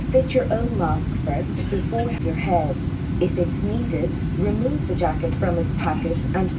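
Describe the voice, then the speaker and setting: Loud background noise fills the recording. A woman speaks through it at a fairly slow pace. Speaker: cabin crew announcer. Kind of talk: safety announcement. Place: plane.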